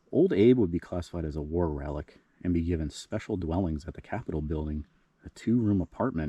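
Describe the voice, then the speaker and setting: A dark, mellow, somewhat breathy voice at a very fast pace, with ordinary pitch variation, dry and close with no echo, over a quiet background. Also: man. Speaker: cemetery explorer vlogger. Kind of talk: history storytelling. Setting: outdoors at a cemetery. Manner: quiet, low voice; casual with fillers.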